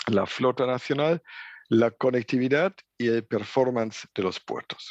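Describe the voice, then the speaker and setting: A man with a German accent speaks at a very slow pace, his medium pitch carrying lively intonation. The sound is dry and close with no echo, over a quiet background. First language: German (speaking Spanish). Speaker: trade logistics expert at international organization. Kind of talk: conference lecture. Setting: remote video link from office. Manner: halting, with fillers.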